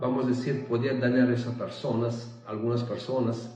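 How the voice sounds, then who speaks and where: Over music in the background and audible room echo, a man speaks at a medium pitch with monotone, flat intonation. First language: not Spanish (speaking Spanish). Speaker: spiritual content creator. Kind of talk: spiritual monologue. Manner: halting.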